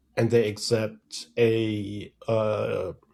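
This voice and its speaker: A man with a German accent speaks at medium pitch in a dark, mellow, somewhat breathy tone with monotone, flat intonation, on a very clean recording with a silent background. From Germany. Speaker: threat intelligence strategist. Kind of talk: podcast interview.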